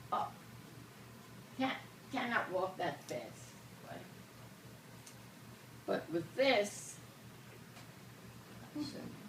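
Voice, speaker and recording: Noticeable background noise sits under a woman's medium-pitched voice, which swings very widely in pitch at a very slow pace with long, frequent pauses. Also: big swings in loudness. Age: 80s+. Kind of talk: casual demonstration to camera.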